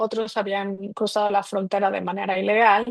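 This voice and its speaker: Monotone, flat intonation in a dry, close sound with no echo. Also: woman. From Mexico City. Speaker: migration researcher. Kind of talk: interview.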